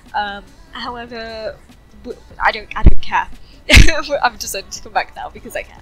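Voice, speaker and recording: Music plays in the background as a woman talks. Her loudness swings widely, and she leaves long, frequent pauses. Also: moderate pace. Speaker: YouTuber artist. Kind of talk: casual commentary rant. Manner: hesitant, many fillers. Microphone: poor mic quality.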